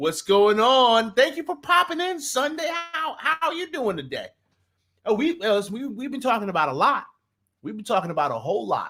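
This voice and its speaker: Projecting a raised voice in an American accent, a man speaks at an extremely high pitch with a bright, sharp, animated tone. His pitch swings very widely at a moderate pace. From New Jersey. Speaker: sports talk streamer. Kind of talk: casual live stream chat. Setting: live stream. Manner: animated, repetitive false starts.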